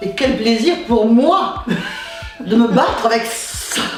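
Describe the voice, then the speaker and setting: With music in the background, a woman speaks very slowly in a fairly high pitch with lively intonation. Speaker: stage actress. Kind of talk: interview answer.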